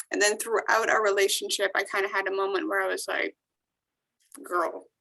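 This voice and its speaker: A woman is speaking. Her voice has vocal fry. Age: 20s. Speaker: actress and TV host. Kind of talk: interview answer. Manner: casual, conversational.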